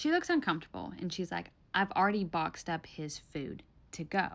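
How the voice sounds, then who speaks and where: In a Southern US accent, a woman talks at a fairly quick pace in an animated tone. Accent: Southern US, mild. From Tennessee, US South. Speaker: storyteller. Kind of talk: storytime monologue.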